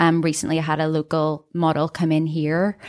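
A woman with a Northern Irish accent speaks at a fairly slow pace in a fairly low pitch. The sound is dry and close with no echo, on a very clean recording with a silent background. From Northern Ireland. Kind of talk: casual chat. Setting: studio.

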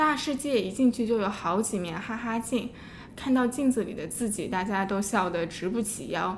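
Against noticeable background noise, a woman with a fairly high voice speaks at a moderate pace with ordinary pitch variation. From Shanghai, China. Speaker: podcast co-host. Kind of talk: scripted narration; casual interview.

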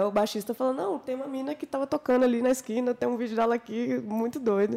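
A woman speaks at a fairly quick pace in a high pitch, her tone dark and mellow and her intonation fairly even. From Minas Gerais, Brazil. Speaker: singer and guitarist. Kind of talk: casual chat.

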